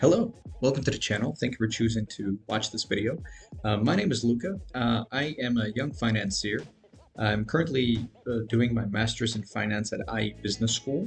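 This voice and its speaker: Fairly quick speech with an American accent and ordinary pitch variation, over music in the background. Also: man, medium pitch for a man. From Georgia. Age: 20s. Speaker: finance student and financier. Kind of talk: video monologue. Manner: halting with fillers.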